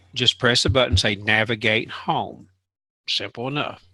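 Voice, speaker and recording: Speaking at a moderate pace with a Southern US accent, a man has a bright, sharp tone in a dry, close recording with no echo, very clean and with a silent background. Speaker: tech show co-host. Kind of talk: casual chat.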